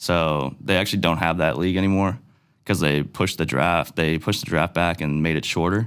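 Very clean, with a silent background, this recording has a man speaking at a fairly quick pace and very even loudness. His very deep, low voice has vocal fry and ordinary pitch variation. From Nova Scotia, Cole Harbour. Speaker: professional baseball player. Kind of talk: interview. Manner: casual, hesitant with fillers.

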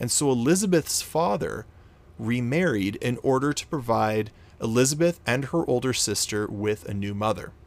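Speaking with a Canadian accent, a man talks at a moderate pace and medium pitch in a normal speaking voice. His intonation is lively. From Canada. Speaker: podcast host. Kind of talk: storytelling narration.

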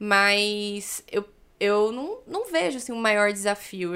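A woman with an ordinary speaking voice, medium in pitch, at a fairly slow pace. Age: 20s. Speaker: social worker. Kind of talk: casual interview chat.

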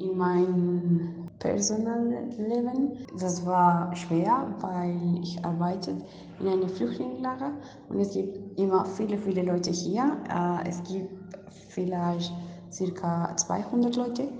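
A woman's medium-pitched voice in a Spanish accent at a very slow pace, with ordinary pitch variation, audible room echo and noticeable background noise. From Colombia. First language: Spanish (speaking German). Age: young. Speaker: international volunteer. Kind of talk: online interview. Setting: video call. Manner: halting.

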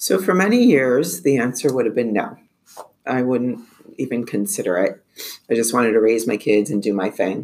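This woman's very deep, low pitch carries lively intonation at a moderate pace. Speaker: corporate supply chain manager and single mother. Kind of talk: casual panel discussion.

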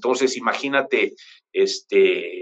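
A man is speaking. He talks with a Mexican accent. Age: 40s. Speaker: pianist. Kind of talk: interview. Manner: halting, many fillers.

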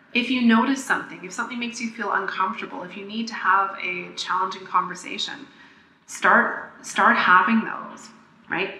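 Over noticeable background noise, a woman talks at a medium pitch with ordinary pitch variation. Her loudness swings widely. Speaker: podcast host and pleasure coach. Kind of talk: solo podcast monologue, teaching. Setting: makeshift home recording, tinny sound. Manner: fast talker; animated, enthusiastic.

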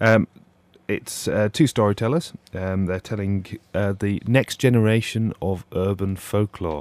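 On a very clean recording with a silent background and a dry, close sound with no echo, a man speaks at a fairly low pitch with ordinary pitch variation and a fairly slow pace. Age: 20s. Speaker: theatre marketing staff. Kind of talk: casual radio interview. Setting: radio studio. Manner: hesitant, many ums.

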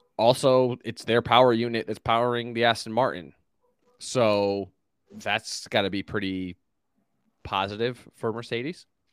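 On a very clean recording with a silent background and a dry, close sound with no echo, a man of medium pitch speaks at a moderate pace with long, frequent pauses. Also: fairly even intonation. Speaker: motorsport commentator guest. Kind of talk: casual chat.

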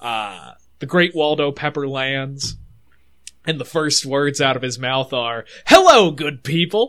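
Recorded very cleanly over a silent background, a man with an unremarkable speaking voice talks fairly slowly at a fairly high pitch with ordinary pitch variation. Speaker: podcast co-host. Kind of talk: casual chat.

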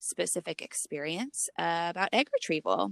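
A woman with a plain, everyday voice speaks at a fairly slow pace and a fairly low pitch, recorded with a dry, close sound with no echo against a quiet background. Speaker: podcast co-host. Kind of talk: casual chat. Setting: remote recording from a closet.

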